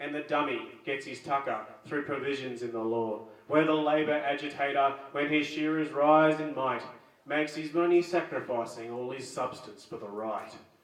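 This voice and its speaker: A man with an Australian accent talks at a moderate pace and a fairly high pitch, with ordinary pitch variation. His loudness swings widely. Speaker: open mic host. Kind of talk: poetry reading.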